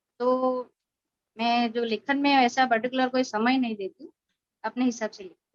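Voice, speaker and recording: With a Gujarati accent, a woman speaks at a high pitch with fairly even intonation and big swings in loudness. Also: dry, close sound with no echo. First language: Gujarati (speaking Hindi). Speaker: writer and poet. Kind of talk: interview testimony.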